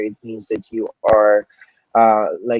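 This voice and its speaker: A man speaks with a Filipino accent. The sound is dry and close, with no echo. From Philippines. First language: Filipino language. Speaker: entrepreneur. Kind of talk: interview. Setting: live stream.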